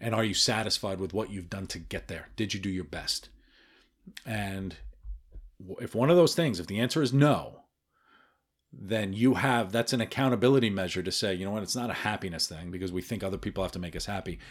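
A plain, everyday voice at a fairly quick pace, with ordinary pitch variation and a very clean recording over a silent background. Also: man, fairly low pitch for a man. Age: 40s. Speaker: podcast host. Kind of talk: solo podcast monologue. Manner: casual, filler-heavy.

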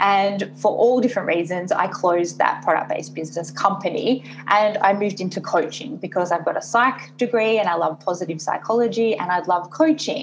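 Medium-pitched speech from a woman at a fairly quick pace, ordinary pitch variation and hardly any pauses, amid noticeable background noise. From Australia, Sydney. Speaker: business coach. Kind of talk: interview. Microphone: poor audio quality, thin sound.

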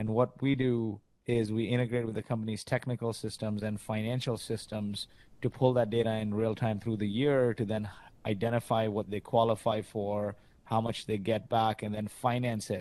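This man's tone is dark and mellow, at a medium pitch. He keeps a moderate pace with monotone, flat intonation. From Kuwait, Indian family. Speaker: startup founder. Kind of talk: interview.

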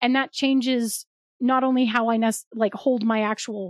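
A woman speaks in a confident tone at a high pitch, the sound dry and close with no echo. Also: very clean recording, silent background. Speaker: podcast co-host, former theater major. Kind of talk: casual chat about tabletop roleplaying. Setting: podcast recording.

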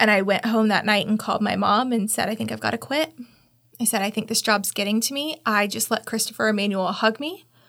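In a very clean recording with a silent background, a woman speaks at a fairly quick pace with a fairly high pitch, vocal fry and fairly even intonation. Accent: American. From Tallahassee, Florida. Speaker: downtown development agency CEO, former funeral director. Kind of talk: casual interview.

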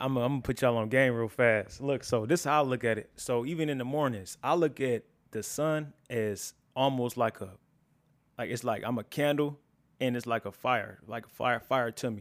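On a very clean recording with a silent background, a man with a normal speaking voice talks at a medium pitch and moderate pace with ordinary pitch variation. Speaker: video editor. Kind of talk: casual conversation.

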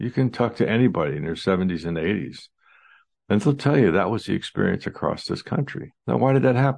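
Fairly quick speech with vocal fry in an American accent, very wide pitch swings, and a quiet background. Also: man. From United States. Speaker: dentist, historian and podcast host. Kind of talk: solo commentary monologue.

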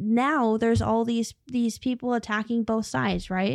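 A woman's fairly high, plain, everyday voice at a moderate pace, in a dry, close sound with no echo, very clean recording and silent background. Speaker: podcast host. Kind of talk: casual chat, reacting to video clips.

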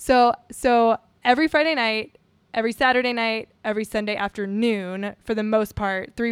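A woman's fairly high voice moves at a fairly quick pace with fairly even intonation. The recording is very clean and the background silent. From US South, Houma, Louisiana (Cajun). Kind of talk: casual interview chat.

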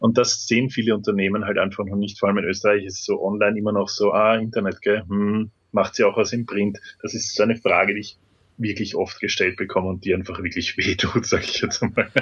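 A man with a fairly low voice speaks very fast in a flat monotone. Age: 30s. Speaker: videoblogger. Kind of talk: interview. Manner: halting.

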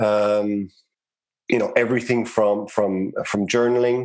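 Monotone, flat intonation in an Irish accent at a moderate pace. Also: man. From Ireland, Cork City. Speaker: realtor and real estate investor. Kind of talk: interview conversation.

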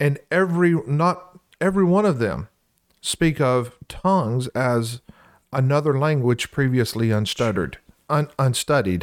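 Speaking with a Southern US accent, a man delivers his words at a fairly slow pace with lively intonation and a medium pitch. His loudness stays very even, and the sound is dry and close with no echo. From US South, Louisiana. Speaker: co-host, church preacher. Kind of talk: casual Bible discussion.

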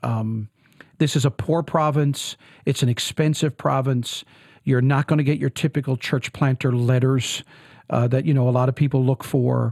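The speaker talks at a moderate pace in a Newfoundland accent, somewhat breathy, with very even loudness. The sound is dry and close, with no echo. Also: man, medium pitch for a man. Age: 40s. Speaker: pastor. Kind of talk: interview. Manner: animated.

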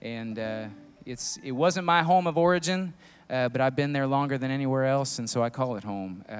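In an American accent, a man with an ordinary speaking voice talks at a moderate pace and medium pitch, his intonation lively. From Indiana. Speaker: band member, musician. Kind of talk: casual interview and stage banter.

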